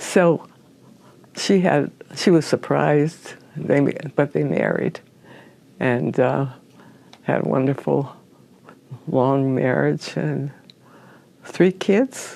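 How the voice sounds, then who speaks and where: Speaking very slowly with an American accent, a woman leaves long, frequent pauses. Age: 90s. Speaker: oral history interviewee. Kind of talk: oral history interview. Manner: halting.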